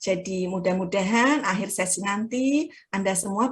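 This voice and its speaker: A woman's somewhat breathy voice at medium pitch, with lively intonation. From Java, Indonesia. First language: Javanese (speaking Indonesian). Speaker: guest lecturer. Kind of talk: lecture. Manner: mixes English and Indonesian.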